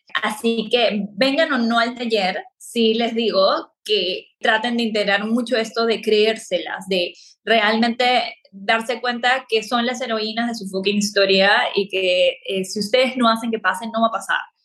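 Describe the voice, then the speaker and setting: A woman with an ordinary speaking voice talks at a fairly slow pace, with hardly any pauses. Her pitch is fairly high and her intonation fairly even. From Peru. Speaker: spiritual coach and astrologer. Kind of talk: podcast interview.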